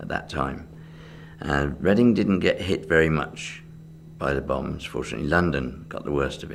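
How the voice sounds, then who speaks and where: The speaker talks at a moderate pace with an English accent and ordinary pitch variation, and there is noticeable background noise. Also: man. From England. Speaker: magician. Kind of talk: oral history interview answer.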